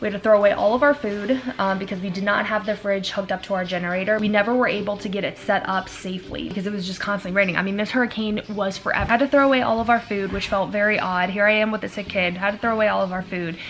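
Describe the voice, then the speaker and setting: Noticeable background noise sits behind a woman with a medium-pitched voice. She talks at a very fast pace with hardly any pauses and fairly even intonation. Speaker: daily vlogger. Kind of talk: casual talk to camera. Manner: fast, rambling.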